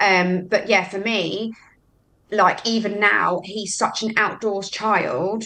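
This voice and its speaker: In a London accent, a woman speaks at a very slow pace with a medium pitch, a bright, sharp tone and monotone, flat intonation against a quiet background. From West London (Hammersmith), later Brighton. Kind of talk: casual chat.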